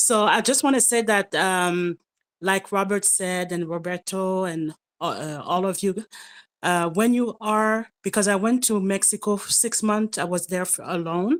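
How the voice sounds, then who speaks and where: At a fairly slow pace, a woman speaks at medium pitch with ordinary pitch variation, in a very clean recording with a silent background. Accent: French. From France. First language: French. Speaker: participant in live Q&A. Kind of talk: casual chat. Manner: halting.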